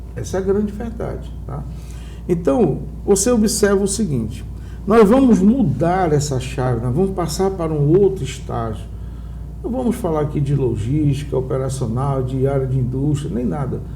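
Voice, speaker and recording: Over noticeable background noise, a man talks at a moderate pace. The room gives off an audible echo. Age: 60s. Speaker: entrepreneur. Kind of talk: TV interview.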